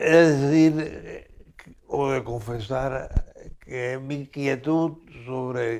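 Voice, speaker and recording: A man of medium pitch with fairly even intonation. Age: 90s. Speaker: philosopher and author. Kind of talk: interview. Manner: halting.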